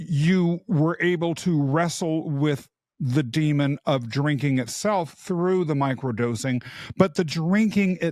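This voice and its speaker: A man with an American accent and a plain, everyday voice speaks at a fairly slow pace, fairly high in pitch with ordinary pitch variation, in a dry, close sound with no echo. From US Midwest. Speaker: podcast host. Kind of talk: podcast interview. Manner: measured, articulate questioning.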